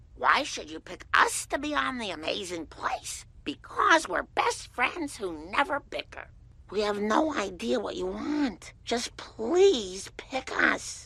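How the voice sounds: A cartoonish character voice, female-sounding and fairly high-pitched, moves at a fairly slow pace. It runs on with hardly any pauses.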